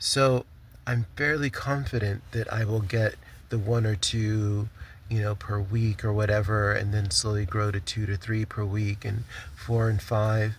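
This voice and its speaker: This man's voice is somewhat breathy and fairly low in pitch. He keeps a moderate pace with fairly even intonation. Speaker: vlogger and small craft business owner. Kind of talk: casual vlog update. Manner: halting, stumbling with many fillers.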